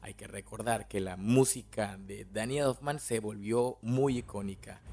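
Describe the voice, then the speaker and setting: This man's voice sits at a medium pitch. He talks at a fairly slow pace. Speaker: podcast host. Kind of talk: film analysis monologue. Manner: casual.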